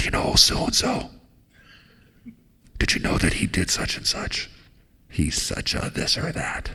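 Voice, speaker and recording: A raspy, whispered, put-on character voice at a moderate pace. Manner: scornful, hushed, gossiping.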